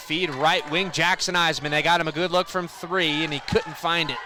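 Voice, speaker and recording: A man's fairly high voice holds fairly even intonation despite noticeable background noise. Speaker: basketball play-by-play announcer. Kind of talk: live game play-by-play.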